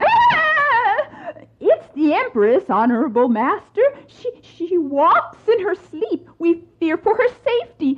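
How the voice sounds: A woman's put-on character voice, extremely high and slow, with very wide pitch swings and few pauses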